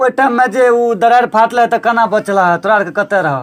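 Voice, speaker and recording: A man speaks with an extremely high-pitched voice. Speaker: local news reporter. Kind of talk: interview questions.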